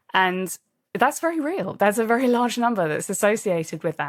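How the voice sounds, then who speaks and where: A woman with a British accent on a very clean recording with a silent background. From England. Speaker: leadership coach and author. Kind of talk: interview.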